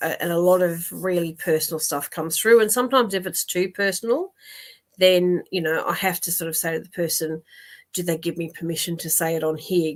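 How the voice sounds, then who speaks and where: A woman talks at a fairly quick pace with an Australian accent and a fairly low pitch. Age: 60s. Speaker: psychic medium. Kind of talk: live stream chat with viewers. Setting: live online stream. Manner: casual, full of fillers and repeats.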